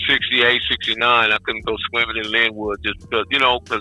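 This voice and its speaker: Music plays in the background. The speech moves at a fairly quick pace with fairly even intonation. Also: man. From Los Angeles, Compton. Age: 60s. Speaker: guest. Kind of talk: interview.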